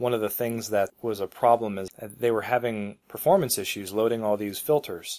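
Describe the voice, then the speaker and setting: A normal speaking voice from a man, fairly low in pitch, with fairly even intonation. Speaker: podcast co-host. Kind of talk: casual tech chat. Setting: remote call, recorded locally.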